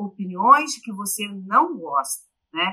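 A woman speaks with a bright, sharp tone at a medium pitch. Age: 40s. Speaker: journalist and university professor. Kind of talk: interview. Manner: halting.

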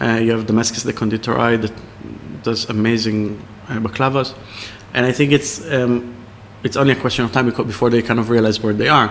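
A man of medium pitch speaks at a very fast pace but with long, frequent pauses. His intonation is monotone and flat, with noticeable background noise behind him. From Israel. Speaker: chef and restaurant owner. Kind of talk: interview over a tasting menu. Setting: in a restaurant. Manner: halting, many fillers.

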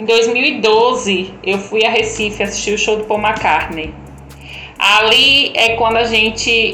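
Both noticeable background noise and audible room echo accompany a woman speaking at a medium pitch. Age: 30s. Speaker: tourism specialist. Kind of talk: casual chat.

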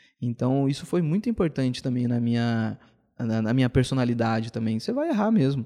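In a dark, mellow tone, a man speaks fairly quickly. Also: medium pitch for a man, ordinary pitch variation. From São Paulo state, Brazil (ABC region, then Campinas). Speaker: entrepreneur in events and marketing. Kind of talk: podcast interview.

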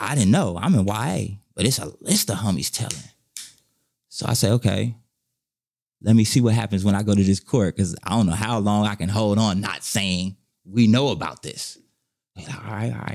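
With an American accent and vocal fry, a man speaks in a fairly low pitch at a moderate pace, leaving long, frequent pauses. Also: ordinary pitch variation. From Inglewood, Los Angeles, California. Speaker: former gang member and ex-prisoner. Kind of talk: life story interview. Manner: animated.

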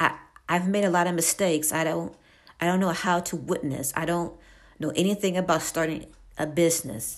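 This voice moves at a fairly quick pace, with fairly even intonation and vocal fry. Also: woman, fairly low pitch for a woman. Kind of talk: devotional monologue. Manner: halting.

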